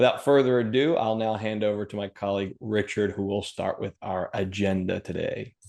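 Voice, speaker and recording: A man with an unremarkable speaking voice, fairly quick pace, fairly even intonation and hardly any pauses. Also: fairly low pitch for a man. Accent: American. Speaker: financial planner. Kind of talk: webinar presentation. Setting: video call.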